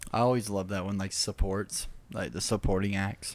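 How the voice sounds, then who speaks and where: Intonation stays fairly even in an unremarkable speaking voice. Words come at a moderate pace. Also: man. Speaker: podcast host. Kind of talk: casual chat.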